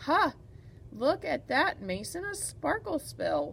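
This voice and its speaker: A woman's put-on character voice, fairly slow, with clear background noise. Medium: read story. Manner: bright, bubbly.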